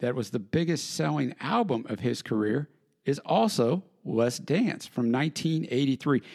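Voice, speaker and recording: Recorded very cleanly against a silent background, a man with a plain, everyday voice and an American accent speaks at medium pitch and a moderate pace. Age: 40s. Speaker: podcast host. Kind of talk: solo podcast narration.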